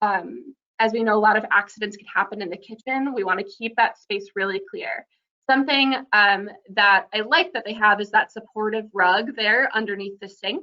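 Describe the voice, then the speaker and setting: A woman's unremarkable speaking voice, fairly high in pitch, fairly quick, with ordinary pitch variation. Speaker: accessibility housing presenter. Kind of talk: webinar presentation.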